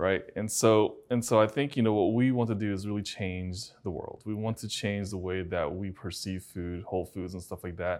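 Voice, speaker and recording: A man with a Chinese accent talks with fairly even intonation and hardly any pauses. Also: fairly low pitch for a man, moderate pace, very clean recording, silent background. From China. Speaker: functional medicine doctor, interviewer. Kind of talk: interview. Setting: conference venue.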